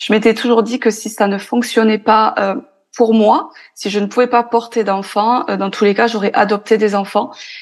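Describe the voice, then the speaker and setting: A woman speaks at a moderate pace with fairly even intonation. Her pitch sits fairly high. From France. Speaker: podcaster and entrepreneur. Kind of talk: interview. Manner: hesitant.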